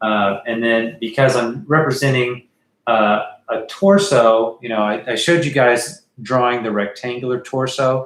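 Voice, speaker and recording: A man at a medium pitch and a fairly slow pace, with an unremarkable speaking voice and ordinary pitch variation. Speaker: art teacher. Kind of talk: livestream drawing tutorial. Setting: live stream. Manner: casual with many fillers.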